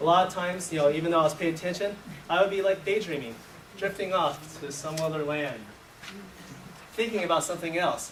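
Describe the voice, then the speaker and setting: A man's high-pitched voice at a fairly quick pace, ordinary pitch variation, audible room echo and noticeable background noise. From US, born in Taiwan, moved at age two. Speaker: workshop presenter, educator. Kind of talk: conference workshop presentation. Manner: halting, many fillers and restarts.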